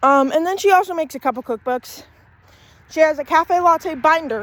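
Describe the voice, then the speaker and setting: A loud woman's voice at an extremely high pitch, fairly quick in pace, with ordinary pitch variation. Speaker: vlogger. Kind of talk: casual walking vlog. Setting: outdoors, walking. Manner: casual, rambling.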